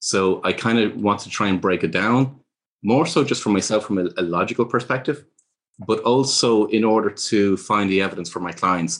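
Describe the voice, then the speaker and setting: A fairly low-pitched man with a Dublin accent and ordinary pitch variation, over a quiet background. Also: moderate pace. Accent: Irish (Dublin). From Ireland. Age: 50s. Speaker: author and speaker on life purpose. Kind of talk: interview.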